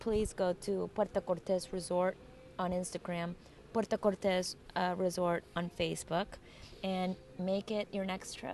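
The speaker has a Spanish accent. The intonation is monotone and flat. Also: woman, medium pitch for a woman. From Colombia. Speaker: podcast co-host. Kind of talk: casual interview.

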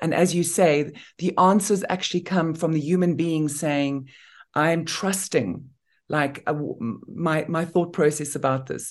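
A woman speaks at a fairly slow pace in a very deep, low voice with ordinary pitch variation over a quiet background. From Namibia. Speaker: former beauty queen and humanitarian, interviewer. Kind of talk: interview conversation.

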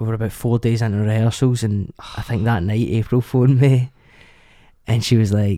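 A man with a Scottish accent speaks in a dark, mellow tone. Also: medium pitch for a man, fairly even intonation, moderate pace. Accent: Scottish, Lanarkshire. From Lanarkshire, Scotland. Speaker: actor. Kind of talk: casual interview chat. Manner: casual, friendly.

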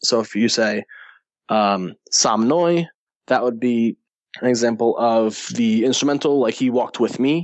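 A man with an ordinary speaking voice, medium in pitch, with ordinary pitch variation and a fairly slow pace. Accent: American. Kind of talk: casual podcast discussion. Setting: remote call.

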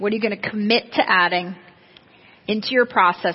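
A woman talks at a fairly quick pace with a medium pitch and ordinary pitch variation. She has an unremarkable speaking voice. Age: 40s. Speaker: real estate agent and sales trainer. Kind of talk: seminar talk.

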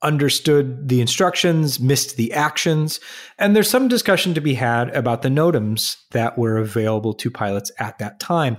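A man has a normal speaking voice, medium in pitch, with lively intonation at a moderate pace. The recording is very clean, the background silent. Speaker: aviation podcast co-host. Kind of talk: casual podcast discussion, news recap.

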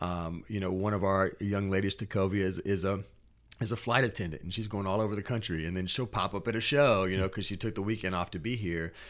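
Speaking in an American accent at a very fast pace, the voice keeps a fairly even intonation on a very clean recording with a silent background. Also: man, fairly low pitch for a man. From US South. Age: 30s. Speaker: spoken word artist. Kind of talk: interview. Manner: halting, many repeated words.

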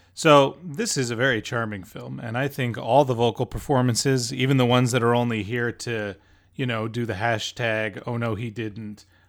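On a very clean recording with a silent background, an unremarkable speaking voice moves at a moderate pace with ordinary pitch variation. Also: man. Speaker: podcast host and film reviewer. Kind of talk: casual review discussion.

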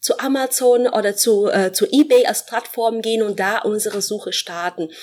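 Against noticeable background noise, a woman with a Portuguese accent talks at a moderate pace with ordinary pitch variation. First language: Portuguese (speaking German). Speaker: professor. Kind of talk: interview. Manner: hesitant, many fillers.

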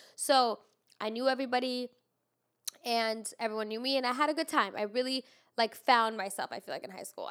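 A woman speaks with a high pitch at a very fast pace. Her tone is animated. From immigrant raised in Los Angeles. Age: 20s. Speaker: podcast host. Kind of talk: casual chat. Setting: studio.

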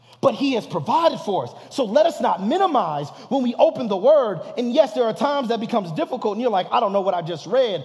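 Animated and extremely high-pitched, a man talks at a very fast pace with very wide pitch swings over noticeable background noise. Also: hardly any pauses. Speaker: pastor. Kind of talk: sermon. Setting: church.

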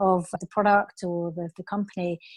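A British accent from a woman at a moderate pace, in a dry, close sound with no echo and a quiet background. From England. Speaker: customer marketing manager. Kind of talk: interview conversation.

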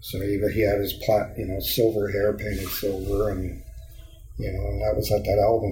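This man's voice has audible room echo. Noticeable background noise is also present. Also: moderate pace. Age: 60s. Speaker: musician. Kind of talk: casual interview. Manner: rambling with many fillers.

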